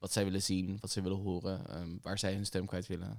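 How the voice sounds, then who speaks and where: In a very clean recording with a silent background, a man talks at a fairly quick pace with a fairly low pitch. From The Hague, Netherlands. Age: 20s. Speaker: barista and youth activist. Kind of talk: casual chat.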